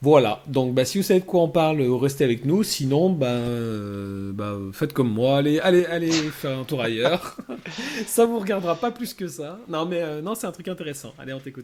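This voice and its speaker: Over noticeable background noise, a man talks at a moderate pace, his fairly high pitch swinging very widely. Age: 30s. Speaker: podcast host. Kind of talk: casual chat.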